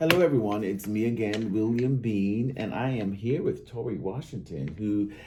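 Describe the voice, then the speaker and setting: With an American accent, a man talks at a moderate pace in a dark, mellow, somewhat breathy tone with lively intonation. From New York. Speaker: talk show host. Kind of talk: interview.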